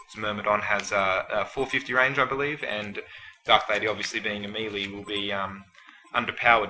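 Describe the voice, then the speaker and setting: Noticeable background noise sits behind a man whose fairly low voice keeps fairly even intonation but shows big swings in loudness. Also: fairly quick pace. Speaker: guest shoutcaster. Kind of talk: game shoutcast analysis. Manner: hesitant, filler words.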